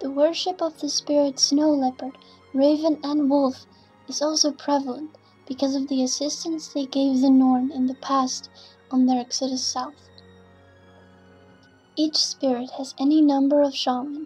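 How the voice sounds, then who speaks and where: Music plays in the background while a woman speaks at a moderate pace with a high pitch. Her intonation is monotone and flat, with long, frequent pauses. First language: not English. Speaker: gamer. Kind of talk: game lore narration.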